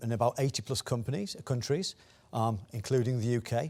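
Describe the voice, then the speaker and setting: A man with a Teesside accent talks at a fairly quick pace and medium pitch. The sound is dry and close, with no echo. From northeast England, Teesside (Stockton-on-Tees). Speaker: technology executive, conference speaker. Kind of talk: conference talk. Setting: business conference, live and online. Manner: hesitant, many fillers and repetitions.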